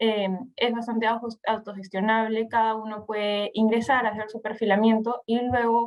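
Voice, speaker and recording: With a Peruvian accent, a woman speaks in a fairly high pitch and a flat, monotone delivery. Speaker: investment platform presenter. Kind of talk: webinar presentation. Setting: online webinar. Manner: halting.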